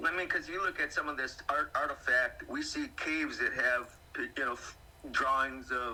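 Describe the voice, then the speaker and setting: A man talking at a moderate pace amid noticeable background noise. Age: 60s. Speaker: alien abduction witness. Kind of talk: casual chat. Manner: halting.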